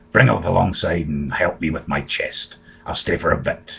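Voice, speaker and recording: A man puts on a raspy character voice, pitched very deep and low. He talks at a moderate pace. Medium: read story. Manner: rough, commanding.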